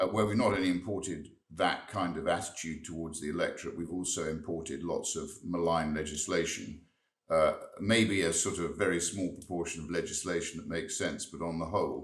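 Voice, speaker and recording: Amid audible room echo, a man with a very deep, low pitch talks at a fairly quick pace with ordinary pitch variation. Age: 60s. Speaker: member of parliament. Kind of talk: interview. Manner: halting, repeats words.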